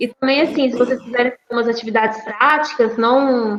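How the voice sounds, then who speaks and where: A woman speaks at a moderate pace in a high pitch. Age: 20s. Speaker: university student teaching a course. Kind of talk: online lecture. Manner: halting, with repeated words.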